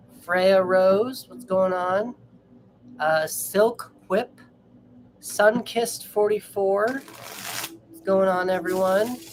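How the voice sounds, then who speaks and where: With noticeable background noise behind her, a woman of medium pitch speaks at a very slow pace, showing ordinary pitch variation and big swings in loudness. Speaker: tarot reader. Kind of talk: live stream chat with viewers. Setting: live stream.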